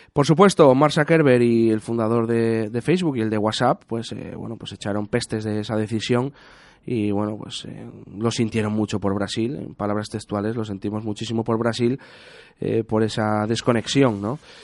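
In a plain, everyday voice, a man talks at a medium pitch and moderate pace with fairly even intonation. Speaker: radio host. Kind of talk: casual chat.

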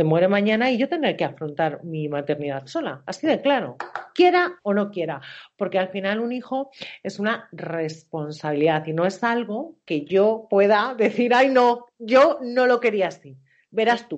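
The speaker talks at a fairly slow pace while the pitch swings very widely. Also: woman, medium pitch for a woman. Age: 40s. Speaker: coach and therapist. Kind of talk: interview.

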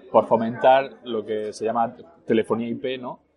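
Against noticeable background noise, a man speaks at a medium pitch and a fairly slow pace with ordinary pitch variation. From northern France, later Spain. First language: French (speaking Spanish). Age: 30s. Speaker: entrepreneur. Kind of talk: casual interview over lunch. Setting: restaurant.

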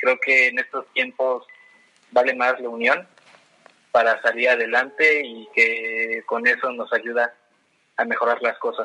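The man's fairly slow delivery is broken by long, frequent pauses. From Mexico, Toluca. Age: 20s. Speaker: urban development professional. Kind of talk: interview.

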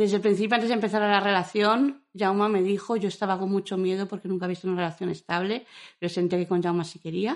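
Fairly even intonation from a woman speaking at a very fast pace. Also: medium pitch for a woman. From Madrid. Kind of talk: interview.

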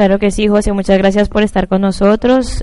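Dark and mellow in tone, a woman speaks with monotone, flat intonation. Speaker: sports radio co-host. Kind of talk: sports talk show and interview.

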